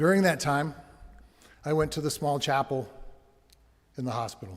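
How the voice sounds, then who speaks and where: Somewhat breathy, a man speaks at a fairly high pitch and a moderate pace, with ordinary pitch variation. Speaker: bereaved father speaking at vigil. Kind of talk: testimony. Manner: soft-spoken.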